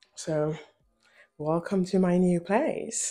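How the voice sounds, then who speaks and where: Very slow pace with music in the background. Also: woman. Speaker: commentary youtuber. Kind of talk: casual commentary vlog. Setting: home, new apartment. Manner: quieter than usual.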